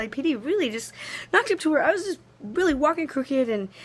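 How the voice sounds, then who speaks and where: A woman talks very fast in an animated tone. Her pitch swings very widely. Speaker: vlogger documenting an injury. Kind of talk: personal video diary. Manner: animated, rambling.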